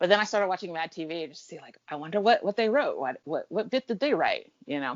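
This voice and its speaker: A woman with an American accent at a medium pitch, very fast, with very wide pitch swings and big swings in loudness. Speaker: comedy fan. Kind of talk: casual chat. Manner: fast when excited.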